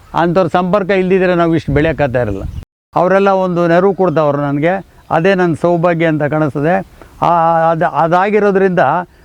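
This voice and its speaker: A man speaks in a high pitch. His intonation stays fairly even. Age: 80s+. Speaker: farm owner. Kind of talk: interview.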